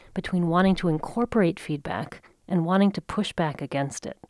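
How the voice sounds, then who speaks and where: On a very clean recording with a silent background, a woman speaks at a medium pitch and a moderate pace. The sound is dry and close with no echo, and her pitch varies in an ordinary way. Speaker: podcast host. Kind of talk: scripted narration.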